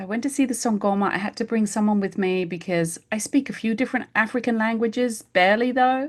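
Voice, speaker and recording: Speaking at a very fast pace with hardly any pauses, a woman with an English accent has a fairly high, somewhat breathy voice on a very clean recording with a silent background. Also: ordinary pitch variation. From England. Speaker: homeopath. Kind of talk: casual interview chat.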